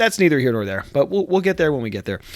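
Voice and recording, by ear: A man talks at a fast pace with a fairly high pitch and big pitch swings.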